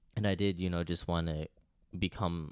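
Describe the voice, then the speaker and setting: Fairly quickly, a man talks in a very deep, low voice. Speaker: future medical student. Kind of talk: casual chat.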